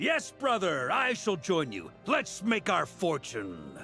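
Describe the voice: Over faint background music, a man puts on a character voice, high-pitched with vocal fry and a bright, sharp tone, swinging his pitch very widely at a slow pace.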